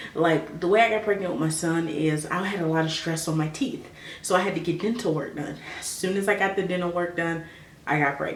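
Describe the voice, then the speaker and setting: A soft-spoken woman talks at a fairly quick pace in a fairly low pitch. Noticeable background noise and audible room echo surround her voice. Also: ordinary pitch variation. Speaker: vlogger. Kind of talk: personal advice vlog.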